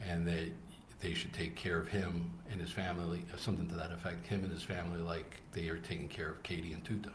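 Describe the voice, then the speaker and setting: Very fast and monotone, a man speaks in a very deep, low, somewhat breathy voice with audible room echo. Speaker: trial witness, undercover operative. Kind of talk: courtroom testimony. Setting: courtroom. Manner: halting.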